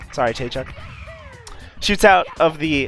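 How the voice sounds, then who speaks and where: Background music behind a man with a fairly high-pitched voice. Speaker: speedrun competition commentator. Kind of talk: live game commentary.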